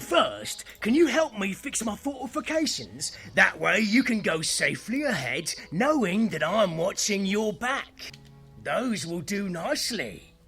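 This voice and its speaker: With faint music in the background, a man uses a put-on character voice at a high pitch and a fairly slow pace. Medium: machinima.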